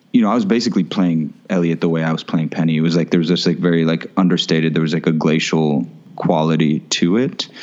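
Amid noticeable background noise, a man with an American accent speaks very fast with hardly any pauses, in a very deep, low pitch with ordinary pitch variation and very even loudness. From Florida. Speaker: actor. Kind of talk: casual interview. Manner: laid-back.

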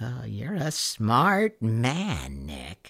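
Putting on a character voice, a man at medium pitch speaks in a menacing tone. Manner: menacing, coaxing.

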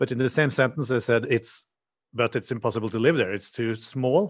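Against a quiet background, a man talks with a Norwegian accent. His pace is fairly quick and his intonation fairly even. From Norway. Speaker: hotel designer. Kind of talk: interview. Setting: video call.

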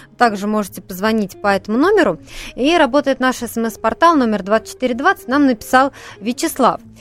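Over noticeable background noise, a woman with a high pitch and lively intonation speaks in a dry, close sound with no echo. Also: moderate pace. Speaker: radio host. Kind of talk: live call-in radio talk. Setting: studio.

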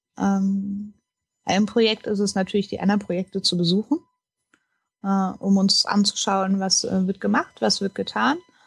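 The speech is somewhat breathy with fairly even intonation, a moderate pace and long, frequent pauses, captured in a dry, close sound with no echo. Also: woman, medium pitch for a woman. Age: 30s. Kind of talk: interview. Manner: hesitant, many fillers.

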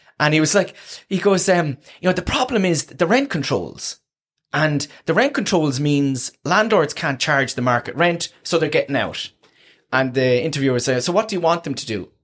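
In a Waterford accent, a man talks at a moderate pace with a fairly high pitch and lively intonation, on a very clean recording with a silent background. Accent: Waterford Irish. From Ireland, County Waterford. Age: 30s. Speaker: housing academic. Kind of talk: casual chat.

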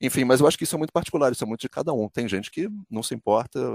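On a very clean recording with a silent background and a dry, close sound with no echo, a man talks at a very fast pace with very wide pitch swings. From Brazil. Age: 50s. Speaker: sports commentator and journalist. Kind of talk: interview.

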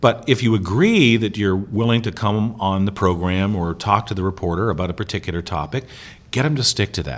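A man speaks at a fairly quick pace in a fairly low pitch with ordinary variation. His is an unremarkable speaking voice, recorded very cleanly against a silent background. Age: 50s. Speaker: media trainer and former reporter. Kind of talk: interview. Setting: recorded at a conference.

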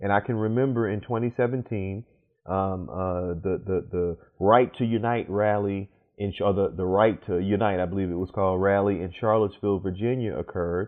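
A man with an American accent and a plain, everyday voice, fairly low in pitch, at a moderate pace with fairly even intonation. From New Orleans, US Deep South. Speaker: pastor and law professor. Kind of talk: interview.

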